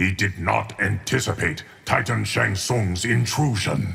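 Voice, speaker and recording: In a put-on character voice, a man speaks at a fairly slow pace. His pitch sits fairly low for a man. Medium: video game. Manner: measured, calm.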